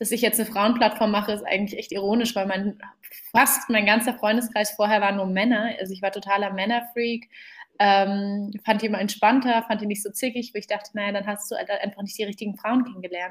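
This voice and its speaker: At a fairly quick pace, this somewhat breathy voice keeps a monotone, flat intonation. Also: woman, fairly high pitch for a woman. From Germany, Berlin. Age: 20s. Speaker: startup founder. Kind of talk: interview.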